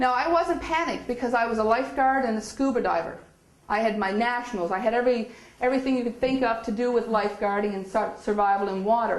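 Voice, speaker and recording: A woman with a Newfoundland accent talking very fast at a fairly high pitch, with noticeable background noise and audible room echo. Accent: Newfoundland Canadian English. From Newfoundland, Canada. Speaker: spiritual speaker. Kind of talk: inspirational talk. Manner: animated storytelling.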